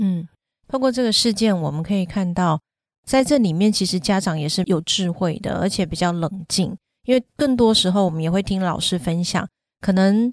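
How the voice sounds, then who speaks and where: This woman has an ordinary speaking voice with medium pitch and ordinary pitch variation, delivered at a moderate pace. The very clean recording sounds dry and close, with no echo and a silent background. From Taiwan. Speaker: parenting podcast host. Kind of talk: casual chat.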